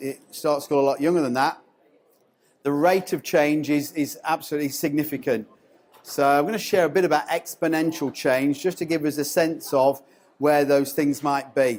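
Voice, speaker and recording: With a strong English accent, a man speaks at a fairly high pitch with ordinary pitch variation. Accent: English accent, still strong. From England. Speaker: education consultant, former school principal. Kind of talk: conference presentation. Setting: stage with audience.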